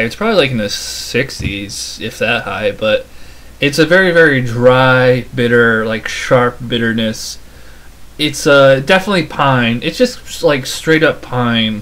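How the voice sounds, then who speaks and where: A man speaks with ordinary pitch variation, keeping a moderate pace. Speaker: beer reviewer. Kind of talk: casual review talk. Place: home room. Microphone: webcam.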